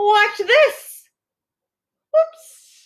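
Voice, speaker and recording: An extremely high, squeaky put-on character voice comes through. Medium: read story.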